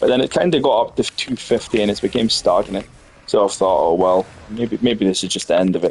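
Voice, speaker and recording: With a Scottish accent, a man with a fairly low voice talks at a fairly quick pace. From Scotland. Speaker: gaming streamer. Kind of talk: casual gameplay commentary.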